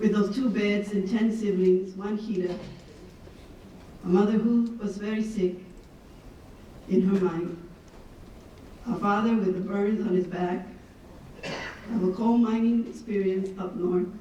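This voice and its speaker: A woman speaks at a fairly slow pace in a medium pitch and flat monotone, with long, frequent pauses, audible room echo and noticeable background noise. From Laredo, Texas (US–Mexico border). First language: Spanish. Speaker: keynote speaker. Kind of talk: motivational keynote speech. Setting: conference stage with audience.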